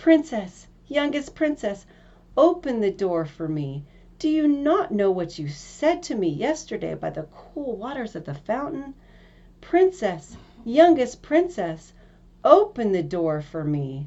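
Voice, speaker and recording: A female-sounding, put-on character voice speaks at a fairly slow pace with a fairly high pitch. The pitch swings very widely. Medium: read story. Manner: persistent, coaxing.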